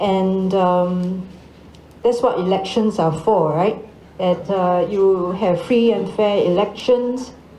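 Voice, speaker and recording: Over noticeable background noise and audible room echo, a woman speaks at a very slow pace with a medium pitch, fairly even intonation and very even loudness. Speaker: ambassador. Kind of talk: panel Q&A answer.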